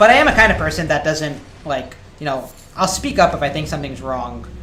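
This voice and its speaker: The talking goes at a fairly quick pace, with noticeable background noise. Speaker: video game streamer. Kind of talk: live gaming stream, answering chat. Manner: fast; halting, many fillers.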